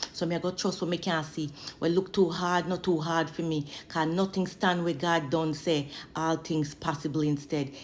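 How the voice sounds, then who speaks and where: With a Jamaican accent, a woman speaks at a fairly low pitch. Her intonation is monotone and flat, and her pace is moderate. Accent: Jamaican Patois. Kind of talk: spoken word poetry, religious encouragement. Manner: fervent, preaching.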